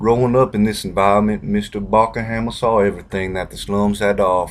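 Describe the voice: What is heard here is plain reading aloud.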